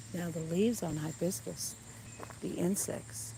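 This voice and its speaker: At a very slow pace, a woman speaks in a very deep, low pitch with very wide pitch swings and audible room echo. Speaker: nature livestreamer. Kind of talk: live walking tour stream. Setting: outdoors in a garden.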